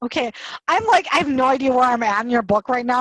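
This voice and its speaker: With a Wisconsin accent, a woman talks in an animated tone at a high pitch. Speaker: author and podcast host. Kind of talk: casual chat. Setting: video call.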